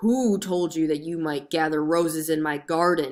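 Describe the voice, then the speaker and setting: The voice is a put-on character voice, gruff and at a middle pitch. It moves at a moderate pace. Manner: angry, fierce.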